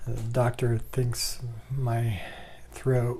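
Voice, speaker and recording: A man's somewhat breathy voice, medium in pitch with a dark, mellow tone, at a very slow pace with audible room echo. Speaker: vlogger living with ALS. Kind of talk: personal video diary. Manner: halting, many fillers. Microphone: new microphone.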